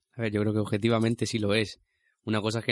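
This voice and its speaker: The speaker is a man. His pitch is fairly low. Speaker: radio host. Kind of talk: casual radio chat. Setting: studio.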